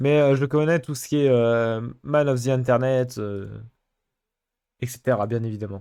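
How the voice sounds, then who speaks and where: A man speaks at medium pitch with a dark, mellow tone and fairly even intonation. His pace is fairly slow, with long, frequent pauses against a quiet background. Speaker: streamer. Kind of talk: casual chat. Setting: live stream. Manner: casual, hesitant with fillers.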